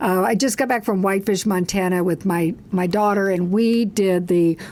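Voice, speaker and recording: A woman with a plain, everyday voice speaks at medium pitch and a moderate pace, with ordinary pitch variation and very even loudness. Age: 60s. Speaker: coach and speaker. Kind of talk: casual chat.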